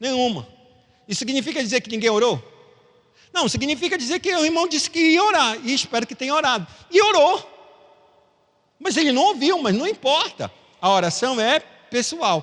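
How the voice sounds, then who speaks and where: A man speaks at an extremely high pitch with very wide pitch swings. He leaves long, frequent pauses. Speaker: Sunday school teacher. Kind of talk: Bible class teaching. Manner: fast.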